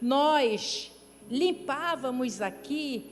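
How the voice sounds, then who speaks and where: This woman speaks at a high pitch with ordinary pitch variation. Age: 60s. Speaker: pastor. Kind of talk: sermon. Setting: church.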